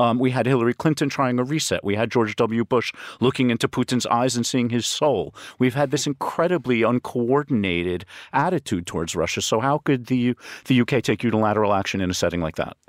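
A man with an American accent speaks at a fairly quick pace in an unremarkable speaking voice, medium in pitch with ordinary pitch variation and very even loudness. The sound is dry and close with no echo, on a very clean recording with a silent background. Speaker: risk consultant. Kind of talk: panel discussion. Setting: studio.

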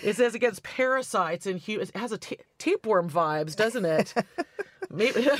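Over noticeable background noise, a woman with an American accent talks at a moderate pace. Her fairly high voice has an animated tone and lively intonation. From US West Coast, California. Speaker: author and popular music professor. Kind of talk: casual chat.

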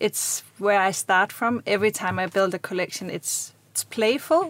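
A woman with a Danish accent. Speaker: fashion designer. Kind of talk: interview. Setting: studio.

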